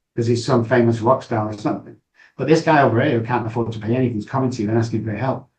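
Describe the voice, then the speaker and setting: Very fast, somewhat breathy delivery with a Manchester accent. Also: man. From northern England, Manchester. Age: 60s. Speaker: addiction recovery expert. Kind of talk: podcast interview. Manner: animated.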